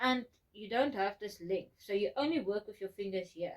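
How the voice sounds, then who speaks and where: Here is a woman with a medium-pitched voice. Her pitch varies in an ordinary way. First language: not English. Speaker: podcast co-host, crafter. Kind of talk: casual chat.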